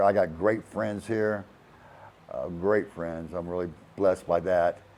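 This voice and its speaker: A man with a South Carolina accent speaks at a fairly slow pace. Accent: Southern US (South Carolina). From US South, Charleston, South Carolina. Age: 60s. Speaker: retiree. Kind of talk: casual testimonial. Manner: halting, with fillers and repetitions.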